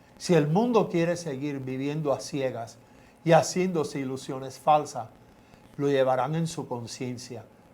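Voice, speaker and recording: Audible room echo surrounds a man with a fairly high pitch and a dark, mellow tone. He talks fairly slowly, with ordinary pitch variation. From Cuba. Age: 70s. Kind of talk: testimony.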